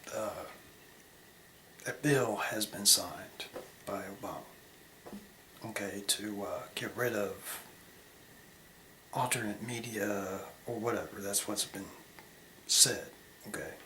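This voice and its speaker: A quiet man's voice, fairly low and monotone, in an American accent, at a fairly slow pace with long, frequent pauses, amid audible room echo and noticeable background noise. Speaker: video blogger. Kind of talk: casual vlog monologue. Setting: bathroom at night. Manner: quiet, hushed; halting, many fillers.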